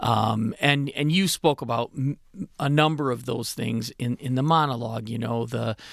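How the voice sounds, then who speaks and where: A man speaks in an ordinary speaking voice at a medium pitch, with ordinary pitch variation. The recording is very clean, the background silent. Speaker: radio co-host, food bank executive. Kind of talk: radio talk show discussion. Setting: radio studio. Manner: friendly, casual.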